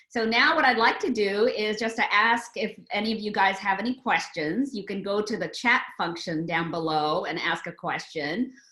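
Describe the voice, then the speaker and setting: Noticeable background noise sits behind a woman speaking at medium pitch. She keeps a moderate pace with lively intonation and hardly any pauses. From India, moved to the US in 1967 as a child. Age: 60s. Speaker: novelist. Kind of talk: author talk with Q&A.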